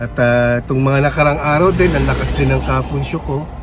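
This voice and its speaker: A man speaks with audible room echo and music in the background. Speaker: vlogger. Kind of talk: vlog narration.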